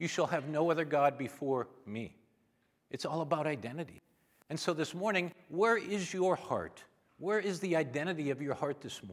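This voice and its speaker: A man with an American accent and a normal speaking voice talks at a moderate pace, his fairly high pitch showing ordinary pitch variation. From Minnesota. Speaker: visiting preacher. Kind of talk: on-stage interview; sermon. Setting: church.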